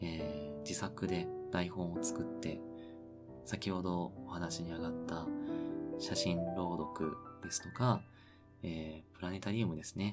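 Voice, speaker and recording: A man's very deep, low voice with ordinary pitch variation, at a fairly slow pace with long, frequent pauses, over music in the background. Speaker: sleep content narrator. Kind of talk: sleep radio talk. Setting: home recording with wind noise. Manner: soft-spoken, slow.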